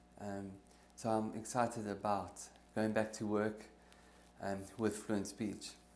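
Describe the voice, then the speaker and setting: With audible room echo, the speech moves at a fairly slow pace in a monotone, flat intonation, broken by long, frequent pauses. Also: man, fairly low pitch for a man. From South Africa. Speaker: theology teacher and former architect, stuttering therapy client. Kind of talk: interview testimony. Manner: fluent after therapy.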